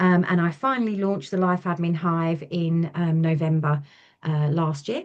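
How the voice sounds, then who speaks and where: A woman with an English accent at a moderate pace, set against a quiet background. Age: 40s. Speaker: small business owner, ex-nurse. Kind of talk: interview chat.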